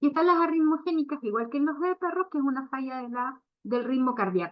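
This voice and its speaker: Speaking in a Chilean accent, a woman uses a high pitch, lively intonation and a fairly quick pace. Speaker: veterinary cardiologist. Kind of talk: lecture. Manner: hesitant, many fillers.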